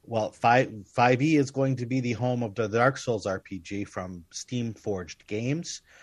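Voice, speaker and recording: Speaking fairly slowly, a man uses an unremarkable speaking voice at a medium pitch with ordinary pitch variation. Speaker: podcast host. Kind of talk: casual interview chat.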